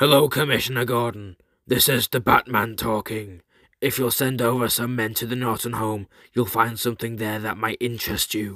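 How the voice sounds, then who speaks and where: In a very clean recording with a silent background, a man does a put-on character voice that is raspy and medium in pitch. He moves at a moderate pace with fairly even intonation. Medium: read story. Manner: cool, polite, ironic.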